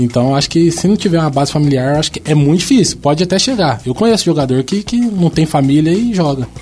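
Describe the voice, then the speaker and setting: Against noticeable background noise, a man talks at a very fast pace with hardly any pauses. His pitch is fairly high and his intonation lively. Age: 20s. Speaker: professional footballer. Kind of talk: casual chat.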